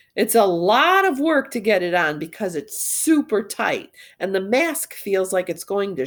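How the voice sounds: Here the voice is a natural reading voice.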